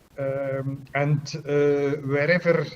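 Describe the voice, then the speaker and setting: Against noticeable background noise, a man with a fairly high pitch speaks in a monotone, flat intonation. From Belgium (Bruges, Flanders). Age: 60s. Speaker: chess arbiter. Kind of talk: interview. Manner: hesitant, many fillers.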